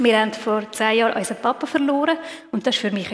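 A woman talks at a very fast pace with a fairly high pitch and ordinary pitch variation. There is noticeable background noise. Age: 30s. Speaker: lay preacher. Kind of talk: sermon.

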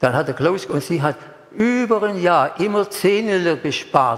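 High-pitched male speech at a moderate pace, with ordinary pitch variation. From Stuttgart area, Germany. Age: 80s+. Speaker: preacher. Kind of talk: sermon. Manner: emotional, repetitive.

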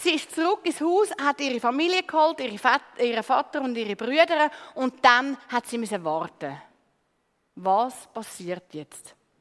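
Speaking at a fairly slow pace, a high-pitched woman uses very wide pitch swings. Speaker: preacher. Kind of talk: sermon. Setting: church stage with congregation.

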